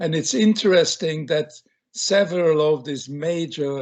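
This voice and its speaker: With a Hungarian accent, a man speaks at a fairly high pitch and a fairly slow pace. His pitch variation is ordinary. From Hungary. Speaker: film director. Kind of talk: interview.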